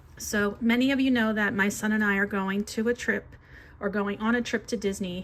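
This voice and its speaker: A woman at a medium pitch and moderate pace, with fairly even intonation. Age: 50s. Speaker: budgeting vlogger and teacher; budgeting vlogger, teacher. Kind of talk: casual budgeting vlog. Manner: casual, frequent fillers (um). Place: home room. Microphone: phone near.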